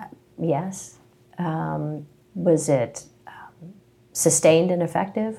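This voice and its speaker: In an American accent, a woman with a fairly low, dark and mellow voice with vocal fry speaks very slowly, using ordinary pitch variation and long, frequent pauses. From West Virginia (Princeton, southern tip). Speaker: employment attorney. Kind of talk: interview. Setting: in-person sit-down.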